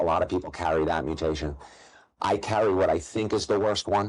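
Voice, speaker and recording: A man talks at a very fast pace in a New York accent. His pitch is fairly low, with ordinary variation. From New York, Long Island (Nassau County). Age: 40s. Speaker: gambling content creator. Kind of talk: interview.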